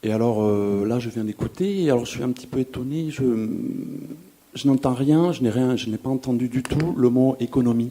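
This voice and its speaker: Ordinary pitch variation runs through this male speaker's voice. Background noise is noticeable. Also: medium pitch for a man, moderate pace. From Toulouse, France (Le Mirail). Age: 40s. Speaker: audience member. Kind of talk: audience question at public debate. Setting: festival debate hall with audience.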